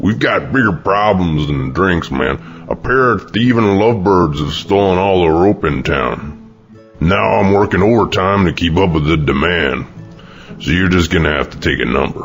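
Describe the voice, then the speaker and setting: A cartoonish character voice from a man, very deep and low in pitch, at a moderate pace over clear music in the background. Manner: sarcastic, impatient.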